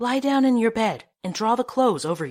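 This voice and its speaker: Using a put-on character voice, a woman speaks at a fairly quick pace with lively intonation and a fairly high pitch. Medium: read story.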